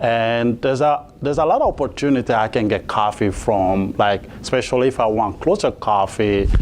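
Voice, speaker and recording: Amid noticeable background noise, a man of medium pitch talks at a moderate pace with ordinary pitch variation, very even loudness and hardly any pauses. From Mali, West Africa. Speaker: coffee company founder. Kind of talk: interview. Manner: halting, many fillers.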